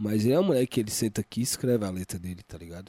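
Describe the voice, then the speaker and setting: With a dark, mellow tone and lively intonation, a medium-pitched man is heard in a dry, close sound with no echo on a very clean recording with a silent background. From Brazil, Federal District area (Planaltina). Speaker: rapper and music producer. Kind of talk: casual interview. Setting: studio.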